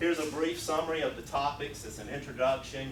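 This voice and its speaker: Noticeable background noise and audible room echo accompany a man with a Southern US accent who speaks with fairly even intonation. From US South. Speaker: programming instructor. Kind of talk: technical presentation. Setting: user group meeting with audience.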